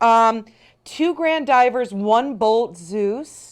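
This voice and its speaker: An animated voice with a Chicago accent moves in very wide pitch swings. The recording is very clean, with a silent background. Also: woman. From Chicago western suburbs. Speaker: shopping channel host. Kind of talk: live TV sales pitch.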